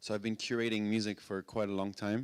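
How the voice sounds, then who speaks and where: The speaker is a man with a French accent. His pace is moderate. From France. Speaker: music industry executive and DJ. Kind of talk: talk to live audience. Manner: halting, many fillers.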